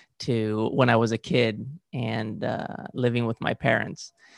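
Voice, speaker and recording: Here a man speaks at a medium pitch with a Spanish accent. The sound is dry and close with no echo. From Spain (Valencia). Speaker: movement coach, former gymnast. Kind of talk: interview. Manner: halting, frequent uh fillers.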